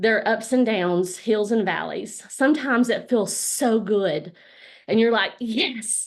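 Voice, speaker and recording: A woman with a Southern US accent speaks at a fairly slow pace and a fairly high pitch, with ordinary pitch variation and very even loudness. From US South, Alabama. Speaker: network marketing business leader. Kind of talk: motivational talk on a group call. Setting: group call.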